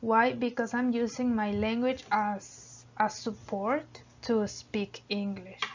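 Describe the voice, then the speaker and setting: Very slowly, a woman with a Spanish accent speaks at a fairly high pitch with fairly even intonation. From Mexico. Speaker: English language student. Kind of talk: class presentation. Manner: halting.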